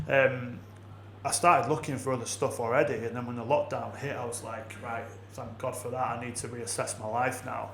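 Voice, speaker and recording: A man moves at a fairly quick pace, with audible room echo and noticeable background noise in the recording. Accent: northern English. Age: 30s. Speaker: business consultant. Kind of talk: podcast interview. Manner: animated.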